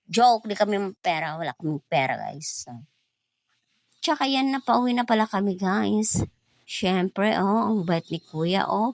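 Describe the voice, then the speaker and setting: A medium-pitched woman at a fairly slow pace, with very wide pitch swings, in a dry, close recording with no echo. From Eastern Visayas (Waray). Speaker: vlogger. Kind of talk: vlog narration. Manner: casual, chatty.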